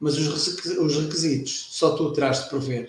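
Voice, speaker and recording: Somewhat breathy, the man's voice rests fairly high in pitch. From Portugal. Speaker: retired air force veteran. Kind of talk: casual chat. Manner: halting.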